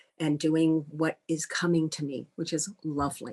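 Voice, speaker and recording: A woman talks at a moderate pace at a fairly low pitch, in a plain, everyday voice. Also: quiet background. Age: 60s. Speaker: life and career coach, retired banker. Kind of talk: interview.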